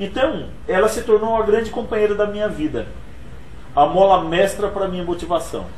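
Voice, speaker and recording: A man's high-pitched voice at a fairly quick pace, with long, frequent pauses and audible room echo. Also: ordinary pitch variation. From Brazil, Pernambuco (Altinho), moved to São Paulo as child. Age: 40s. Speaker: motivational speaker and author. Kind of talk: interview.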